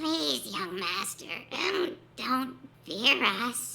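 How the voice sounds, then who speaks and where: A raspy, female-sounding put-on character voice goes very slowly at a high pitch. Its pitch swings very widely. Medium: read story. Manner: deferential, pleading.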